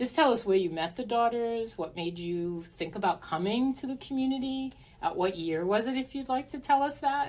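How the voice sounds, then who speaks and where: Here is a woman with a plain, everyday voice. Her intonation is lively and her pace fairly quick. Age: 60s. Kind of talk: casual podcast chat.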